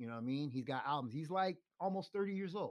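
A man with an American accent speaks at a very fast pace. The recording is very clean, with a silent background. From New York (South Bronx). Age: 50s. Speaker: bike courier and cycling crew leader. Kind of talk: casual chat. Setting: in person, studio. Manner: animated.

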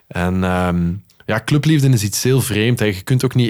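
Here is a man with an ordinary speaking voice and fairly low pitch. His pace is moderate and his pitch variation ordinary. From Netherlands. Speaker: radio and TV presenter, music lover. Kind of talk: casual conversation.

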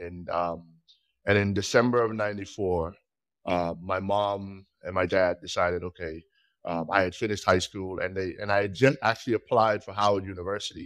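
With a low pitch and fairly even intonation, a man speaks at a moderate pace.

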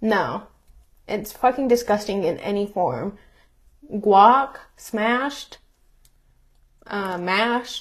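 Her voice is fairly high and somewhat breathy, with ordinary pitch variation. The woman speaks at a very slow pace, leaving long, frequent pauses. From US, Mexican American. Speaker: podcast co-host. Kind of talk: casual chat.

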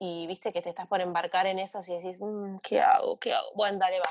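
In a Rioplatense accent, a woman at a medium pitch speaks fairly quickly, with a dry, close sound and no echo. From Argentina. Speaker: singer-songwriter. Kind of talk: casual interview chat.

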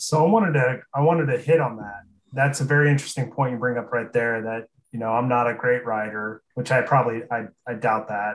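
A man with an American accent talks at a fairly quick pace in a plain, everyday voice. His pitch is medium, with ordinary pitch variation. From Aurora, Nebraska. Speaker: podcast co-host. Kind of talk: casual interview chat.

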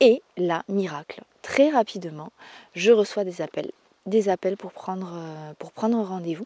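In a dry, close sound with no echo, a woman speaks at a medium pitch and a fairly slow pace, her tone dark and mellow. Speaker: therapist and podcast host. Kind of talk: solo podcast storytelling.

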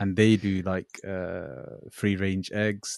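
A man with a very deep, low pitch and monotone, flat intonation at a very slow pace, dry and close with no echo, against a quiet background. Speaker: podcast host. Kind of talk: casual chat. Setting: video call.

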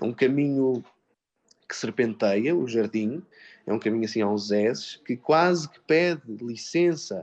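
Lively intonation at a fairly slow pace against a quiet background. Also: man. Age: 30s. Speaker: actor and drama teacher. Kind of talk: radio interview. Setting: live broadcast from a theatre workshop. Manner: halting, many repetitions.

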